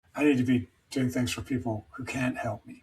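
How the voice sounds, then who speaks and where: Somewhat breathy, a man speaks at a moderate pace and medium pitch with fairly even intonation. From Scotland, Edinburgh. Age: 50s. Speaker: endurance swimmer and recovery mentor. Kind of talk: interview conversation. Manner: hesitant, many fillers.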